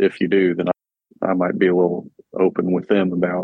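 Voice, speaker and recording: The speaker is a man with a very deep, low pitch. His intonation is monotone and flat. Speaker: meeting participant. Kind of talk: group discussion.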